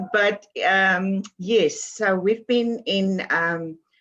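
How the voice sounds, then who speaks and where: A woman with a South African accent speaks at a medium pitch with lively intonation. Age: 70s. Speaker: author and publisher. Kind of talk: interview.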